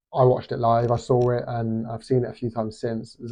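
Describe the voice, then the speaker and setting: This man has a British accent and a medium-pitched voice. He talks at a fairly quick pace. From Britain. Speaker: boxing commentator youtuber. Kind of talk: casual opinion vlog. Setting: hostel room. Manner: halting, many fillers.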